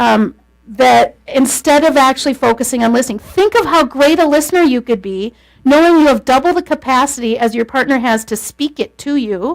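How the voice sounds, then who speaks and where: Animated in tone, a woman speaks at a high pitch with ordinary pitch variation. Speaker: lecturer on marriage communication. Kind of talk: lecture.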